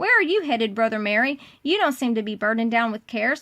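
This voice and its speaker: A put-on character voice from a woman, fairly high in pitch, at a very fast pace. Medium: read story.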